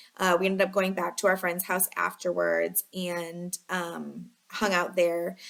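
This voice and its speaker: A woman's fairly low, monotone voice in a Chicago accent at a fairly slow pace. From Chicago area, US Midwest. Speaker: lifestyle vlogger. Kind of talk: casual storytelling. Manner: filler-heavy, chatty (um, like, you know).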